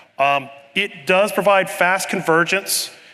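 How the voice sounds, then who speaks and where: Intonation stays fairly even as a man talks, with noticeable background noise behind him. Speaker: conference presenter, network engineer. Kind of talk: technical lecture. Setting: conference session room with live audience. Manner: fast.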